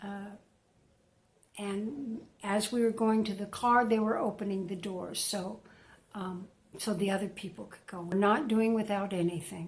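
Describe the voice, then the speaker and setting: Somewhat breathy, a woman speaks at a moderate pace and medium pitch with fairly even intonation, big swings in loudness and long, frequent pauses. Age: 70s. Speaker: retired woman vlogging about isolation. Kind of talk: casual monologue to camera. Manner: halting, many fillers.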